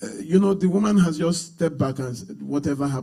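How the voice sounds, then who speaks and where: A man races along at a very fast pace with lively intonation. Music plays behind him, and room echo is audible. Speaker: pastor. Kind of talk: sermon.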